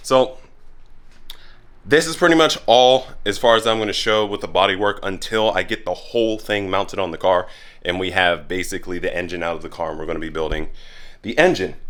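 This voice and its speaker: This man's voice sits fairly low and moves with lively intonation. He speaks at a fairly quick pace. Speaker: car DIY YouTuber. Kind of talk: casual tutorial. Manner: hesitant fillers; fast.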